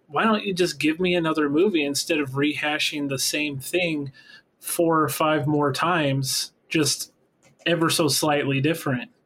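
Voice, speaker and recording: Here is a plain, everyday voice from a man, pitched fairly high and moving at a moderate pace. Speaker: podcast co-host. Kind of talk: casual chat.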